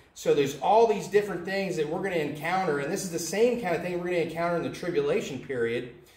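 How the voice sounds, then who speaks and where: Speaking with an American accent and ordinary pitch variation, a man is heard in a room with audible echo. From United States. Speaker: independent Baptist soul winner vlogger; preacher. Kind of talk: religious video monologue. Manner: hesitant, with filler words. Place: home room. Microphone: camera far.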